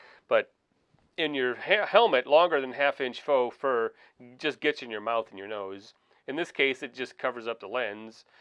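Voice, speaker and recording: A man at medium pitch and moderate pace, ordinary pitch variation and big swings in loudness, dry and close with no echo, quiet background. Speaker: motovlogger. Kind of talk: tutorial. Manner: loud, projected voice.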